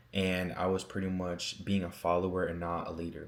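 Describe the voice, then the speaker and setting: At a moderate pace, a man with a very deep, low pitch speaks with an American accent. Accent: American, youthful casual. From Pennsylvania, US. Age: young. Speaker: youtuber. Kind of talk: story time monologue. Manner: casual, filler-heavy.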